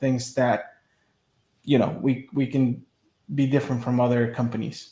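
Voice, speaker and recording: In a Spanish accent, a man talks at a moderate pace with a medium pitch and monotone, flat intonation. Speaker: media business owner. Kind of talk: interview.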